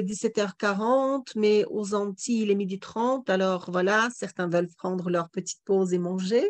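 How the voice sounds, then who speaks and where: At a very slow pace, a woman talks with fairly even intonation over a quiet background. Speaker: webinar moderator. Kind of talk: moderated Q&A. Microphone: video call.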